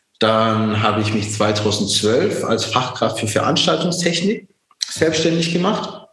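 Very slowly, a man speaks at a medium pitch, his pitch swinging very widely. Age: 40s. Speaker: entrepreneur. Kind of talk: interview. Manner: many fillers and restarts.

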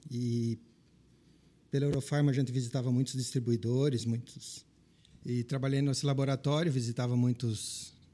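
Somewhat breathy and dark, mellow in tone, a man's medium-pitched voice moves at a moderate pace with fairly even intonation. The recording is very clean, with a silent background. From southwestern Paraná, Brazil. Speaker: pet shop business owner and veterinarian. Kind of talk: interview conversation.

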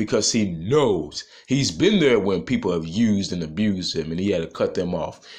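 A man's voice carries vocal fry. His pitch swings very widely. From Nashville, Tennessee. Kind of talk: motivational monologue.

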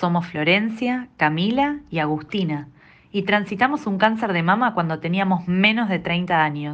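A woman with an unremarkable speaking voice talks at medium pitch and a fairly slow pace, her intonation lively. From Argentina. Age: 30s. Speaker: breast cancer survivor, teacher and journalist. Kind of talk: scripted introduction.

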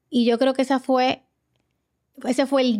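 Recorded very cleanly against a silent background, a woman speaks at a moderate pace with a dry, close sound and no echo. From Dominican Republic. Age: 40s. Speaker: guest, emigrant mother. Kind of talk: casual chat.

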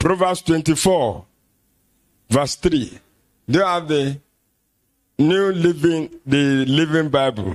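Delivered at a very slow pace with a Nigerian accent, the speech has long, frequent pauses, very even loudness and ordinary pitch variation. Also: man, fairly high pitch for a man. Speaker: pastor. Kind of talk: sermon.

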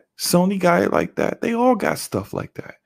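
The recording of this man's voice is very clean, with a silent background. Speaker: gaming podcast co-host and YouTuber. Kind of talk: casual chat.

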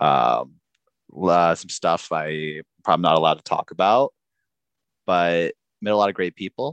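With an American accent and a very deep, low pitch, a man speaks with long, frequent pauses in a dry, close sound with no echo. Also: ordinary pitch variation, moderate pace. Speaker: guest, improv performer. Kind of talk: casual comedy podcast chat.

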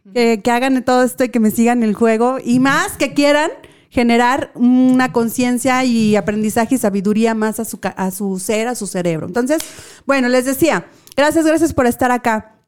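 The tone is animated, in a Mexican accent. It is a very clean recording with a silent background. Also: woman, high pitch for a woman, ordinary pitch variation, moderate pace. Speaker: radio show host. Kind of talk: casual chat.

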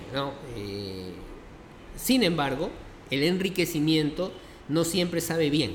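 A man's fairly high voice with very wide pitch swings, a very slow pace, long and frequent pauses, and audible room echo. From Peru, Lima. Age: 50s. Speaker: pastor. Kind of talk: interview conversation. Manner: halting, many fillers.

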